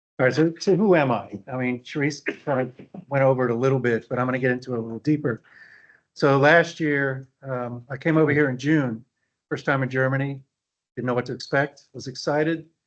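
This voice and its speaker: A man with an American accent talks at a fairly quick pace in an ordinary speaking voice. His pitch is medium and his intonation fairly even. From US South, New Orleans, Louisiana. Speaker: value engineering officer, landscape architect. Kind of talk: conference presentation. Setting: meeting room with audience and online attendees.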